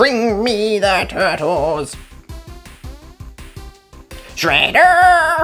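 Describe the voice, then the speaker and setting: With faint music in the background, a put-on character voice at a fairly high pitch swings very widely in pitch. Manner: demanding, villainous.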